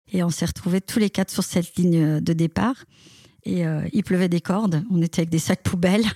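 Quick-paced and somewhat breathy, a woman speaks in a fairly low pitch with a dark, mellow tone, ordinary pitch variation and very even loudness, the sound dry and close with no echo. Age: 50s. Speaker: amateur runner. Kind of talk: interview. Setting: remote call.

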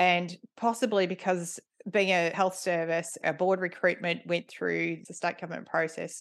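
With an Australian accent, a woman speaks at a fairly low pitch and moderate pace, with fairly even intonation and a quiet background. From Melbourne, Australia. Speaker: board director and governance consultant. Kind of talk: interview.

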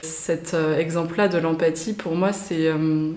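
Through audible room echo and noticeable background noise, a woman speaks at a very slow pace. Her pitch is fairly low and her intonation fairly even. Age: 30s. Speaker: guest sharing personal experience of hypersensitivity. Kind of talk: casual interview.

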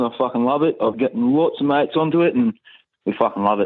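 A man speaks at a very fast pace with a strong Australian accent. His pitch is medium, with ordinary variation. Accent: broad Australian. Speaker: listener caller telling jokes. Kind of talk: joke telling voice message.

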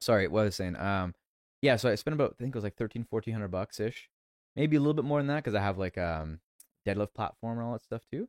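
In a dry, close recording with no echo, a man with an unremarkable speaking voice, pitched fairly low, uses lively intonation. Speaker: podcast host. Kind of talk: casual chat. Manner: loud.

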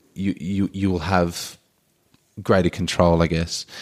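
On a very clean recording with a silent background, a man with an Australian accent talks at a fairly slow pace in a very deep, low pitch and a monotone, flat intonation. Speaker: surfboard shaper. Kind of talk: casual consultation chat.

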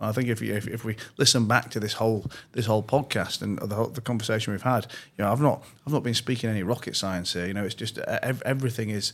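His pitch is medium and varies in an ordinary way. The man speaks at a very fast pace. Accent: Yorkshire. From northern England, Leeds. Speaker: entrepreneur and investor. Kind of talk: interview. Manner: frequent repetitions and restarts.

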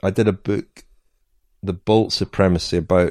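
In a Scottish accent, a man speaks at a moderate pace with monotone, flat intonation and a dark, mellow tone. The sound is dry and close with no echo. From Scotland. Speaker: cycling journalist and author. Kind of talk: interview.

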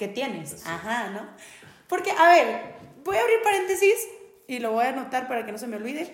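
A woman's high-pitched voice in a northern Mexican accent, at a moderate pace with long, frequent pauses and very wide pitch swings, amid audible room echo. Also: big swings in loudness. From northern Mexico. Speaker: podcast host. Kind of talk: casual chat.

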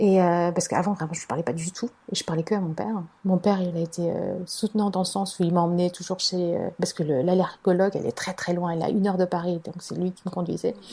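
A woman speaks very fast in a dark, mellow, somewhat breathy tone with fairly even intonation. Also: fairly low pitch for a woman. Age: 30s. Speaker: life coach and mother. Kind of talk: testimony.

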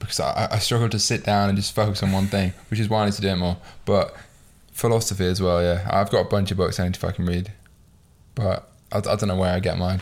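Speaking at a very fast pace with a British accent, a man keeps a fairly low pitch and fairly even intonation. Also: very clean recording, silent background. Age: 20s. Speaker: podcast host. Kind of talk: casual chat.

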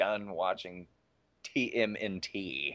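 A man with an American accent. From US Midwest, Iowa (early childhood California). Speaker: actor. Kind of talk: casual interview.

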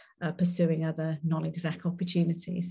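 Somewhat breathy and fairly low in pitch, a woman with a Welsh accent speaks at a moderate pace with fairly even intonation. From Wales. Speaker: company board director. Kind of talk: interview.

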